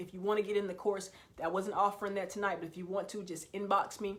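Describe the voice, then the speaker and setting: A woman speaks at a fairly quick pace in a medium pitch, her intonation flat and monotone, with audible echo from the room. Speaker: motivational speaker. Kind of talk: motivational livestream talk. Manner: fast; passionate.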